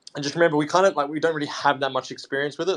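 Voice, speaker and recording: A man with an Australian accent speaks in a fairly high pitch. The background is quiet. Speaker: artist. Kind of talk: casual chat.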